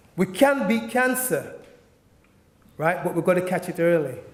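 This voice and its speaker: With noticeable noise behind him, a man with a high voice speaks fairly quickly. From Jamaica, moved to England at nine. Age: 50s. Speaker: cancer survivor and bodybuilder. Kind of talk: testimony.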